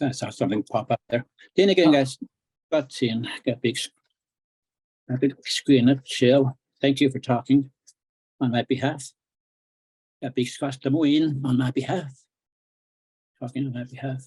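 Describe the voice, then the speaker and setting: A man's medium-pitched, somewhat breathy voice, fairly even in intonation, at a moderate pace with long, frequent pauses, in a dry, close sound with no echo. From northern Saskatchewan, Cree community. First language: Cree. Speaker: author and Cree language teacher. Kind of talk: book launch talk.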